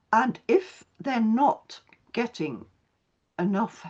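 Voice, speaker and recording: At a very slow pace, a woman speaks at a fairly high pitch with very wide pitch swings and vocal fry. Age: 80s+. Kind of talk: webinar panel discussion. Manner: halting.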